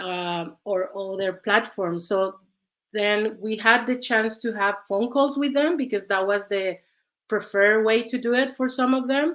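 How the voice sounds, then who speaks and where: The speaker has a Mexican accent and talks at a moderate pace with ordinary pitch variation. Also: woman, fairly high pitch for a woman. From Mexico. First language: Spanish. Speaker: researcher. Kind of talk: panel discussion.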